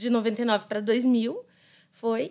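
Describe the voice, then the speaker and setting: A woman's voice against a quiet background. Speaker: pastor's wife and manicurist; pastor's wife. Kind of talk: casual chat. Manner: talkative, lively. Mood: warm, animated storytelling. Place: studio. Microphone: studio mic.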